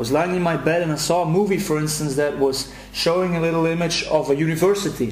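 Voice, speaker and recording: Speaking very fast with a European accent, a man is heard over noticeable background noise and audible room echo. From Belgium, Brussels. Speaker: anxiety self-help coach. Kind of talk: promotional video message. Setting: recorded at home. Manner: halting, many repetitions.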